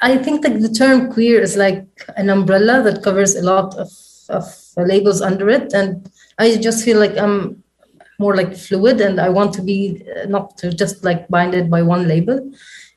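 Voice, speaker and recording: At a moderate pace, a woman speaks in a somewhat breathy voice. Her pitch is medium, with ordinary pitch variation. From small town in Lebanon. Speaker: interviewee. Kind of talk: interview.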